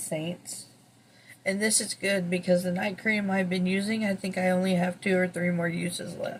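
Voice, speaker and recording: A woman speaks in a somewhat breathy voice with monotone, flat intonation. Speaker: beauty vlogger. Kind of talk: product unboxing review. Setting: at home early morning. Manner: soft-spoken.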